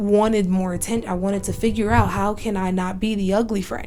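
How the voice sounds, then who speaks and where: A woman's ordinary speaking voice at medium pitch, with fairly even intonation and a moderate pace. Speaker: solo podcast host. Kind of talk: self-help podcast monologue. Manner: casual, many fillers and restarts.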